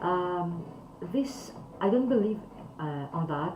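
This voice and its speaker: A woman with a non-native accent makes very wide pitch swings, heard with audible room echo and noticeable background noise. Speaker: calligraphy teacher. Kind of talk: talk to camera. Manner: halting.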